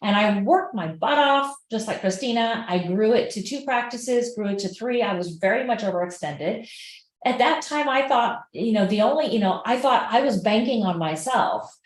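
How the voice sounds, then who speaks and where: A woman's animated voice, fairly high in pitch, with lively intonation, a moderate pace and audible room echo. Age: 50s. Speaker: holistic health practitioner. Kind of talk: casual chat.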